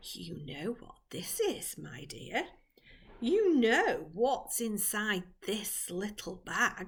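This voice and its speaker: In a put-on character voice, the speaker talks at a very slow pace with a creaky sound, very wide pitch swings and big swings in loudness. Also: woman, medium pitch for a woman. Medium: read story. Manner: coaxing, secretive.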